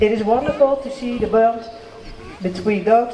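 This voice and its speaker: A man's extremely high voice at a moderate pace, with fairly even intonation, noticeable background noise and audible room echo. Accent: Dutch. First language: Dutch. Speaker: local politician. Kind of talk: ceremony speech.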